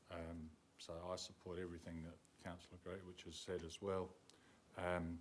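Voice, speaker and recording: Speaking with long, frequent pauses and a monotone, flat intonation, a man with a very deep, low voice keeps a moderate pace amid audible room echo. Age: 70s. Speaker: councillor. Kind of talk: council meeting debate speech. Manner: halting.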